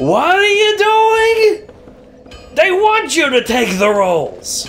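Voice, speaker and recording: Someone shouts in a put-on character voice at a very slow pace. Music plays in the background. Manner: shouting.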